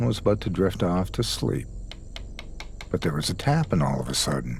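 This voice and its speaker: A man's fairly low voice, with vocal fry. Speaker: guest storyteller lending his voice. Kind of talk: scary story narration.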